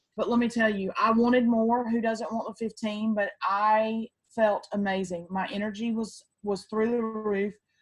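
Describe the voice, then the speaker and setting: Somewhat breathy and with a Southern accent, a woman speaks at a fairly high pitch and moderate pace with fairly even intonation and hardly any pauses. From US South, Georgia. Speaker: network marketing distributor. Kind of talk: testimony.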